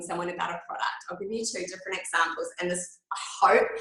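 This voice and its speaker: Speaking with an Australian accent, a woman varies her pitch in an ordinary way. Room echo is audible. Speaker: product trainer. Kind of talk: training talk.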